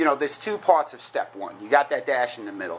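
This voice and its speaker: A man with a New York accent talks in a fairly high voice. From New York (Queens). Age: 40s. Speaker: recovering alcoholic speaker. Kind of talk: recovery meeting talk. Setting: meeting room with audience. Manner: fast; animated.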